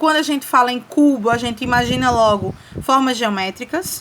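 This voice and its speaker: With noticeable background noise, a woman speaks at a fairly slow pace. Her pitch is fairly high, with ordinary pitch variation. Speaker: teacher. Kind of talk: lecture.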